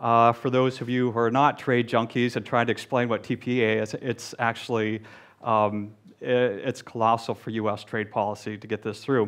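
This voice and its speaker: In an American accent, a man speaks at a moderate pace with medium pitch and monotone, flat intonation. The background is quiet. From US, Delaware. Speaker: diplomat, embassy economic officer. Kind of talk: panel discussion. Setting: stage with audience. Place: hall. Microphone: headset.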